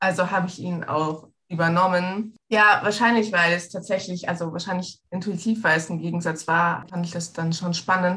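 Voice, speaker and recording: A woman speaks at a moderate pace with a fairly low pitch. Her bright, sharp tone has monotone, flat intonation. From Egypt. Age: 20s. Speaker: travel scholarship alumna. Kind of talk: interview.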